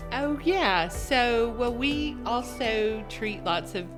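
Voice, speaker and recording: A woman is talking while music plays in the background. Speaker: optometrist. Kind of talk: interview answer.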